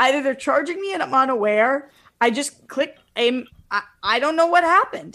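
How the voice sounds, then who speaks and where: Raising and projecting her high-pitched voice, a woman speaks with lively intonation and a bright, sharp tone. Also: moderate pace. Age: 20s. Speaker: podcast co-host. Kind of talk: casual chat.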